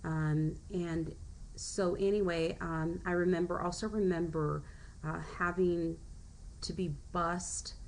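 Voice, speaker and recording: Over audible room echo, a woman speaks at a very slow pace. Her fairly low voice stays flat and monotone. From US, Mexican-American family. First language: Spanish. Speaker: teacher. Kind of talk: personal presentation. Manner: halting, many fillers.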